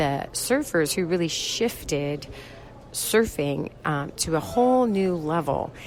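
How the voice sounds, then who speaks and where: With noticeable background noise behind her, a woman talks at a very slow pace, her fairly low pitch moving in very wide swings. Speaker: radio show host. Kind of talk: podcast intro.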